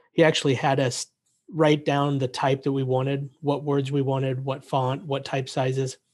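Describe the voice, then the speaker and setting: A man's fairly high-pitched voice with monotone, flat intonation. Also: moderate pace. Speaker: podcast host. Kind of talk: casual interview. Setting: video call.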